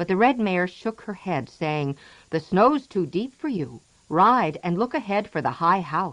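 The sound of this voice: Delivered with lively intonation, this is an unforced reading voice.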